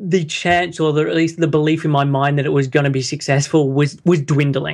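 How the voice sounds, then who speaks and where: An Australian-accented man with a fairly high pitch and monotone, flat intonation, against a quiet background. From Australia, Sydney. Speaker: health coach. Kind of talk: interview. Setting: call.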